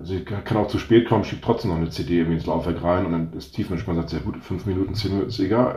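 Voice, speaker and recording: There's audible room echo as a man speaks very fast in a very deep, low, somewhat breathy voice with ordinary pitch variation. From northern Germany, North Sea coast. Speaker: startup founder. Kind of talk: interview.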